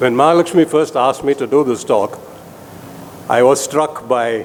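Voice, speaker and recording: A man with a fairly high pitch at a moderate pace, noticeable background noise behind him. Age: 70s. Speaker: surgeon giving a lecture. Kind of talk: lecture.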